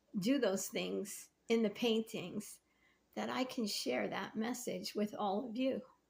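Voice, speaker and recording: Vocal fry marks this voice, which moves at a fairly slow pace with ordinary pitch variation. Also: woman. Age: 60s. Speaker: faith vlogger and painter. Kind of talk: casual devotional talk to camera.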